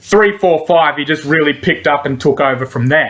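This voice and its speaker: Lively intonation marks a man speaking with an Australian accent. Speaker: MMA betting tipster. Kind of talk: solo commentary video, casual.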